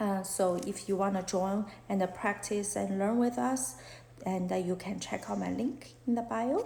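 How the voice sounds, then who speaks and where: A woman with a Chinese accent speaks at a fairly slow pace in a medium pitch with ordinary pitch variation, and audible room echo surrounds her voice. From China. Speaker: fashion illustrator and art teacher; art teacher. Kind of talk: live-stream Q&A chat. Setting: Instagram live stream. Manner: halting, many fillers. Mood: open, reflective, a bit shy. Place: home room. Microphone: phone near.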